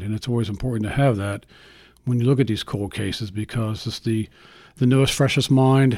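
A man with an American accent talks at a fairly quick pace in an ordinary speaking voice, medium in pitch with ordinary pitch variation. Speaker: retired cold case detective. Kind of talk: interview recollection, casual. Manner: conversational, earnest.

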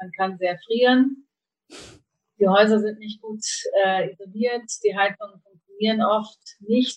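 Speaking at a fairly slow pace, a woman with a medium pitch sounds somewhat breathy, her intonation fairly even. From northern Germany, Kiel. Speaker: organic food importer, former journalist. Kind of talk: interview.

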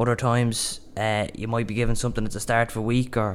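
This man talks at a fairly quick pace in a Dublin accent. His pitch is medium and his intonation stays monotone and flat. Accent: Dublin Irish. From Ireland, Dublin. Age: young. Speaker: apprentice carpenter. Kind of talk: interview.

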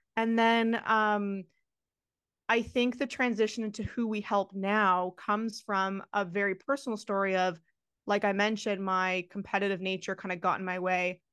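Here is a plain, everyday voice with fairly even intonation. It keeps a moderate pace against a quiet background. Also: woman, medium pitch for a woman. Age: 30s. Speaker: nutrition coach. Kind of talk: interview.

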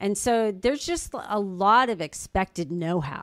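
Here is a woman with an unremarkable speaking voice at a medium pitch and lively intonation. The recording is very clean, with a silent background. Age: 50s. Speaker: real estate agent. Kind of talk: casual chat.

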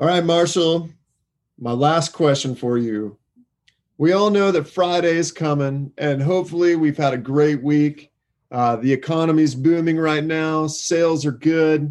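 This is a normal speaking voice with ordinary pitch variation. The pace is fairly slow. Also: man, fairly high pitch for a man. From Texas. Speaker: screen printing company guest. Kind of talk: recorded question message.

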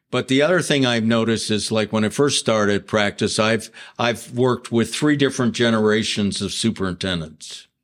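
A man with an American accent and a plain, everyday voice, medium in pitch with ordinary pitch variation, fairly quick with hardly any pauses and very even loudness, on a very clean recording with a silent background. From Ohio (Mansfield). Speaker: lawyer. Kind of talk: casual chat.

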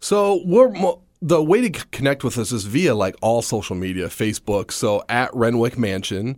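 Here a man with an American accent talks at a moderate pace with hardly any pauses. His medium-pitched voice has very wide pitch swings. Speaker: stand-up comedian and speech teacher. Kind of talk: casual interview. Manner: animated, humorous.

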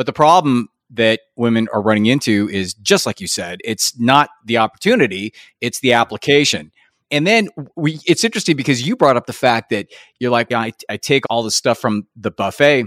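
Using a normal speaking voice, a man talks at medium pitch and a moderate pace with lively intonation. The recording is very clean and silent behind him, with a dry, close sound and no echo. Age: 50s. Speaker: podcast host and confidence coach. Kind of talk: interview.

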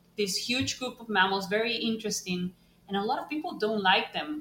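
A woman speaks over noticeable background noise. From Costa Rica, San José. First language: Spanish. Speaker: bat ecologist and professor. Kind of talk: interview.

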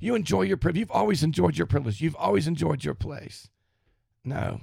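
In a very clean recording with a silent background, a man with a Southern US accent speaks fairly quickly in a dark, mellow tone, with vocal fry and very wide pitch swings. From US South, Florida panhandle. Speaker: podcast host. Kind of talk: monologue.

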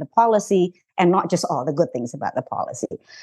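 With an Indonesian accent, a woman talks at a fairly quick pace and ordinary pitch variation. The background is quiet. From Indonesia, Jakarta. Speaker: journalist. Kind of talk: interview.

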